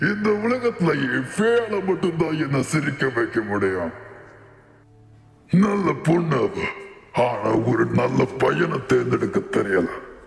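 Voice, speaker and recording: Using a put-on character voice, a man speaks at a very slow pace and a fairly high pitch, with a clear echo around him. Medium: fan dub. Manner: terse, gruff.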